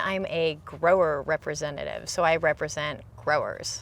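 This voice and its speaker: A woman speaks with a Californian accent. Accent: General American (Californian). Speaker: almond grower. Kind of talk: casual interview.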